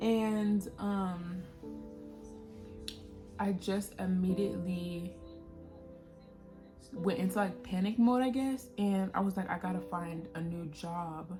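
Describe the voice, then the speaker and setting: Over music in the background, a woman with a medium-pitched voice speaks at a very slow pace, leaving long, frequent pauses. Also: ordinary pitch variation. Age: 20s. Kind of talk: personal testimony talk to camera. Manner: casual, conversational.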